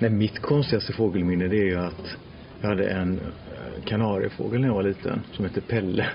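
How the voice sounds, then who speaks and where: A man's fairly low voice at a fairly quick pace, with fairly even intonation, very even loudness and noticeable background noise. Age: 40s. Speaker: podcast host. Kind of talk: casual chat.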